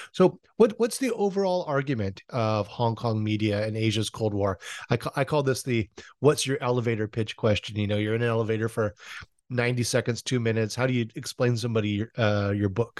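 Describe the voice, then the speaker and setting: In an ordinary speaking voice, a man talks at a fairly quick pace and medium pitch with ordinary pitch variation. The sound is dry and close, with no echo. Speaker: podcast host. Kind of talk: interview.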